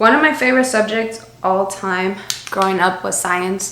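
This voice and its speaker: A woman with a strong Spanish accent speaks at a moderate pace and medium pitch with ordinary pitch variation, amid audible room echo and noticeable background noise. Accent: thick Spanish. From Miami, US. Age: 20s. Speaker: beauty YouTuber. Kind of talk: makeup tutorial with Q&A. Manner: casual, chatty.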